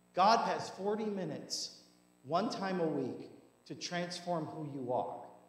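Amid audible room echo, a man speaks at a fairly slow pace with lively intonation. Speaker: pastor. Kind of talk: sermon. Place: church.

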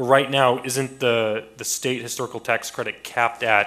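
The man's voice has a bright, sharp tone. He speaks with monotone, flat intonation. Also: quiet background. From US Midwest. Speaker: city council member; council member. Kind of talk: council deliberation. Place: hall. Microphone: podium.

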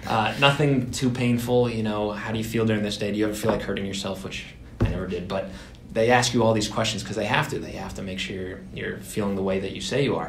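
Audible room echo and light background noise surround a man speaking very fast, his fairly low pitch showing ordinary variation. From Massachusetts. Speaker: digital advertising worker; podcast co-host. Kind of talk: casual chat. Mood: earnest, reflective about mental health. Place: meeting room. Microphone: camera far.

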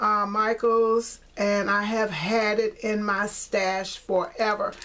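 At a slow pace, a woman speaks with a fairly bright tone, medium pitch and little pitch movement.

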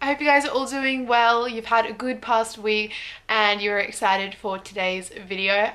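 Speaking at a moderate pace with an Australian accent, a woman has a bright, sharp tone, fairly high pitch and fairly even intonation. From Brisbane, Australia. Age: young. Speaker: vlogger. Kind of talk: casual talk to camera. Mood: warm, upbeat. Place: home room. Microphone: phone near.

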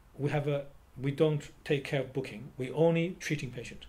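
This man's voice has a dark, mellow tone and is somewhat breathy. His pitch sits fairly high. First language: Chinese. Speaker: traditional Chinese medicine practitioner and educator. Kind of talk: interview. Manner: halting.

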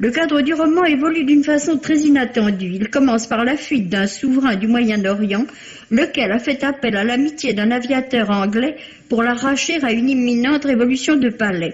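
A woman talks at a moderate pace with a high pitch and ordinary pitch variation. Her loudness stays very even. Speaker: book critic. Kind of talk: radio book review, read aloud. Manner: formal, measured, polished. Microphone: old recording.

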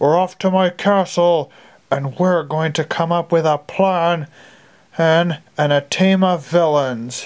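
A put-on character voice at a middle pitch goes at a fairly slow pace over a quiet background. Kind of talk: amateur fan audio play. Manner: gloating, smug.

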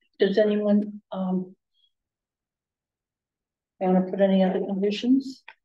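A woman at medium pitch, slow-paced, with little pitch movement

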